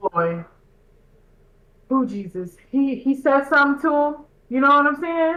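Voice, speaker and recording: Loud and high-pitched, a woman speaks at a moderate pace with a bright, sharp tone and lively intonation, leaving long, frequent pauses. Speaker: podcast host. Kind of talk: casual chat. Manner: animated.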